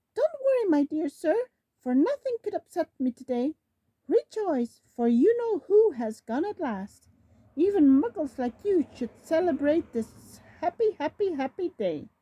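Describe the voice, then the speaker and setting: A woman does a put-on character voice, squeaky and extremely high, with very wide pitch swings at a moderate pace. The sound is dry and close with no echo. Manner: gleeful, excited.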